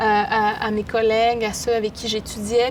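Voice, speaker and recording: Noticeable background noise sits behind a woman's fairly high voice. Her intonation stays monotone and flat. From Quebec, Innu community of Pessamit then Baie-Comeau. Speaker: poet and artist. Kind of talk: interview.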